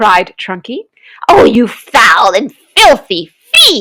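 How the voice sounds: The speaker uses a natural reading voice against a quiet background.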